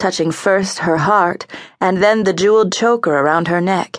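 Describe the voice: What we hear is plain reading aloud.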